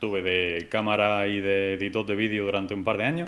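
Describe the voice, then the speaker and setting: A man's plain, everyday voice at a fairly quick pace. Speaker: visual effects artist. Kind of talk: casual interview.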